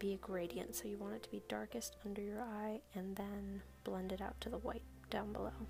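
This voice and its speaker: A soft-spoken woman talks at a fairly quick pace. Background noise is noticeable. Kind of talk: makeup tutorial voice-over.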